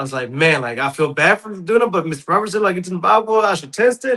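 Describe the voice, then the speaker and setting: A man at a very fast pace, with lively intonation. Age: 30s. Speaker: podcast host. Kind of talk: casual chat.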